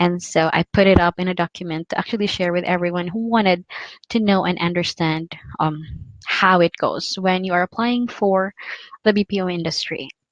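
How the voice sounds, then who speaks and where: A woman talks at a fairly quick pace with fairly even intonation, in a dry, close sound with no echo. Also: medium pitch for a woman. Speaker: call center career vlogger. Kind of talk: tutorial. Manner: fast.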